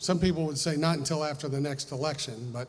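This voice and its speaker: A man speaks at a fairly high pitch in a somewhat breathy voice. Audible room echo surrounds him. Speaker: estate planning lawyer. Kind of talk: seminar talk. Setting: live audience.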